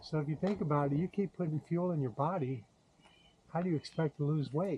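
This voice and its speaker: The man's voice sits fairly high, somewhat breathy, with ordinary pitch variation. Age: 70s. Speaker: YouTuber sharing diet experience. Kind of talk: casual vlog monologue. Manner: halting, with many fillers.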